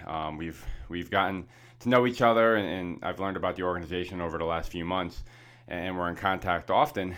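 In a very deep, low pitch, a man talks at a fairly quick pace. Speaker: podcast host and nonprofit founder. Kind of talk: interview.

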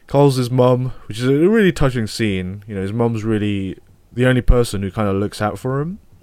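A man's plain, everyday voice at a medium pitch, fairly quick in pace, with ordinary pitch variation. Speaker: film podcast co-host. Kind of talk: casual film review chat. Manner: laid-back, laughing.

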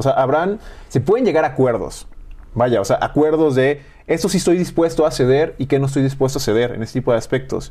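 Here a man speaks at a fairly high pitch with a dark, mellow tone. His pitch varies an ordinary amount at a moderate pace. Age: 20s. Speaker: nutritionist and university program coordinator. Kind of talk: casual interview chat.

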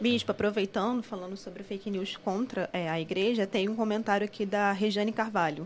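With a Carioca accent, a woman speaks at a medium pitch and a fairly quick pace. Her intonation is fairly even, and she hardly pauses. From Rio de Janeiro. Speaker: co-host reading live comments. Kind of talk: casual chat.

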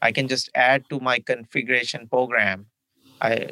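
A man's bright, sharp tone comes through at a fairly slow pace. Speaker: podcast co-host, cloud computing. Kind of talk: casual explanatory podcast talk.

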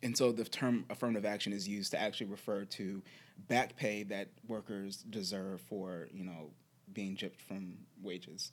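An American-accented man with an unremarkable speaking voice talks at a moderate pace, keeping a fairly low pitch with ordinary pitch variation. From Charlottesville, Virginia, US. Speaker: podcast co-host. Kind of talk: casual chat.

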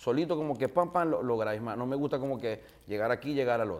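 On a very clean recording with a silent background, a man with a fairly high pitch talks at a fairly quick pace with lively intonation. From Venezuela, Maracaibo. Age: 40s. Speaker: radio host and comedian. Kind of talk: casual interview chat. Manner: animated.

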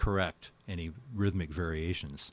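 Over a silent background in a very clean recording, a man with a very deep, low pitch talks at a moderate pace with ordinary pitch variation. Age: 70s. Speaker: artist and electronic musician. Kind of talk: interview. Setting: radio studio.

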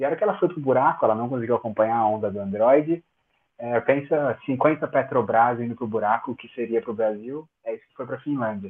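A man's normal speaking voice at medium pitch, fairly quick in pace, with ordinary pitch variation. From Brazil, São Paulo. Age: 30s. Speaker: cryptography researcher and tech professor. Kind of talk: casual interview.

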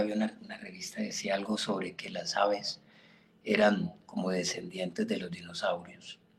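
Noticeable background noise under a moderately paced male voice. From Colombia, Caquetá (Florencia). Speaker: birding guide. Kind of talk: interview.

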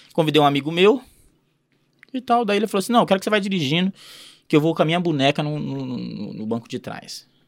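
Very wide pitch swings and big swings in loudness run through this very fast speech, broken by long, frequent pauses. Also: man, fairly high pitch for a man. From Paraná, Brazil. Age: 30s. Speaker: entrepreneur. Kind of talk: casual interview storytelling.

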